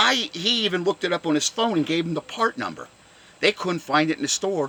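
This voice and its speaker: An animated man at a high pitch, with lively intonation and a fairly quick pace, in a dry, close sound with no echo but noticeable background noise. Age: 60s. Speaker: car enthusiast vlogger. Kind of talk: angry rant.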